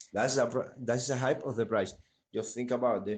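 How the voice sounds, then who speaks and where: A man with a Spanish accent, medium pitch and ordinary pitch variation. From Cuba. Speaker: NFT artist. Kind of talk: casual chat. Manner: halting.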